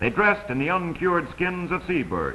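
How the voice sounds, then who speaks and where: A man speaks at a moderate pace with lively intonation. His tone is bright and sharp, with vocal fry. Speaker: documentary narrator. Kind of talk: vintage educational travelogue narration. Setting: old film soundtrack.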